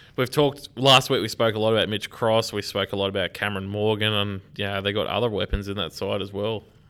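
A man talks at a very fast pace. His pitch is fairly low and his intonation fairly even. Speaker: football podcast co-host. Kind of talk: casual chat.

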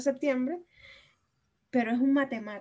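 A woman talks in a high pitch with fairly even intonation. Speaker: podcast co-host. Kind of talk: casual chat.

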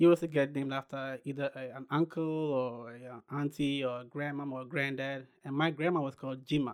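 The man has a fairly high pitch and a monotone, flat intonation. His recording is very clean, with a silent background. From Ghana. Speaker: clothing brand entrepreneur. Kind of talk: interview.

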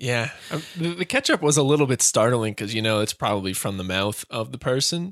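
An unremarkable speaking voice moves at a fairly quick pace with lively intonation and hardly any pauses, the sound dry and close with no echo. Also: man, medium pitch for a man. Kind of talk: bantering podcast comedy chat, riffing on bits with a co-host.

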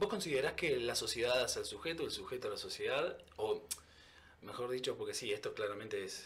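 A man speaks at a fairly quick pace with a Rioplatense accent. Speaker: podcast host. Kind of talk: casual interview.

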